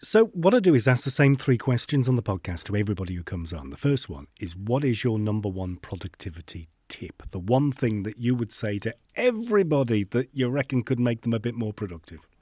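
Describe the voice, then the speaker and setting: In a very clean recording with a silent background, a man with a medium-pitched, dark, mellow tone speaks at a fairly quick pace with lively intonation, the sound dry and close with no echo. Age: 50s. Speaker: podcast host. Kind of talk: casual interview chat.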